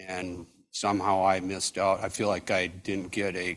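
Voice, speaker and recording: A man with a very deep, low pitch speaks in a monotone, flat way. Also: very clean recording, silent background. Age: 60s. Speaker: audience member. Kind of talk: audience question.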